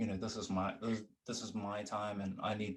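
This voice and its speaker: Soft-spoken, a man talks at a moderate pace. His pitch sits fairly low. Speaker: musician and podcast host. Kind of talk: casual chat. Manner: hesitant, many fillers.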